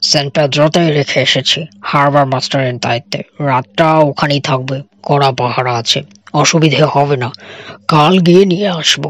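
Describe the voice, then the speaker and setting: Put-on character voice at a low-to-middle pitch is what this clip carries. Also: moderate pace. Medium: read story. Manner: matter-of-fact, authoritative.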